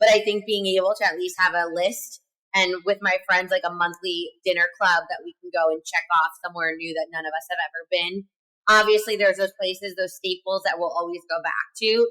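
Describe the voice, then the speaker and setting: This woman has a bright, sharp tone and an American accent, speaking at a fairly quick pace. Her intonation stays fairly even, and the sound is dry and close with no echo. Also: medium pitch for a woman. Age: 30s. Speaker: podcast co-host. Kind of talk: casual chat.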